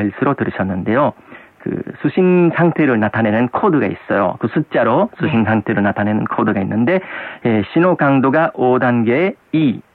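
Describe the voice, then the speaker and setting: Delivered in a plain, everyday voice, the speech has lively intonation and a fairly slow pace. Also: man. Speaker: radio host. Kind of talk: casual chat.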